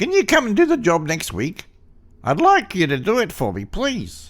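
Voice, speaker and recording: A man puts on a character voice that is high-pitched and shrill, speaking at a moderate pace. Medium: read story. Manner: shrieking, nervous.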